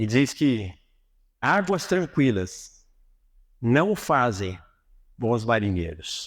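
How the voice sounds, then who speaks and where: A man talks at a very slow pace, with very wide pitch swings and long, frequent pauses. The recording is very clean, with a silent background. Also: medium pitch for a man. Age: 60s. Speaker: motivational speaker. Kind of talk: religious motivational talk. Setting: auditorium with audience.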